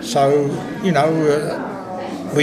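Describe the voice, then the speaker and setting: A man with a fairly high voice and ordinary pitch variation talks in a space with audible room echo and noticeable background noise. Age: 80s+. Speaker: show judge and former chairman. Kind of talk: radio interview.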